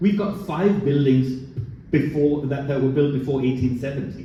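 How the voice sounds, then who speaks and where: A man's fairly high voice at a moderate pace, ordinary pitch variation, audible room echo and noticeable background noise. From Denmark, western Jutland. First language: Danish. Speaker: port director. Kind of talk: panel discussion. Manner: halting, many repetitions.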